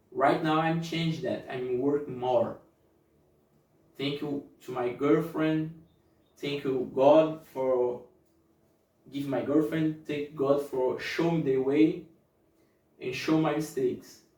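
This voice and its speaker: Audible room echo surrounds a man with a fairly high pitch and monotone, flat intonation. He speaks at a very slow pace, with long, frequent pauses. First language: not English. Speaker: motivational youtuber. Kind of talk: motivational talk to camera. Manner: halting, self-correcting.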